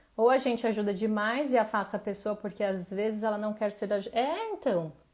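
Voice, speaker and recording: A woman's fairly high, dark, mellow voice at a moderate pace with ordinary pitch variation, on a very clean recording with a silent background. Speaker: emotional wellness coach. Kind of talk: live stream talk.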